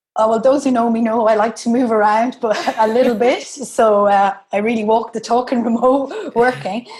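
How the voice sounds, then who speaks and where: Against noticeable background noise, a woman with a fairly high voice talks at a fairly quick pace with ordinary pitch variation. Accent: Irish. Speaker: remote work educator. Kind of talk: interview. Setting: co-working space.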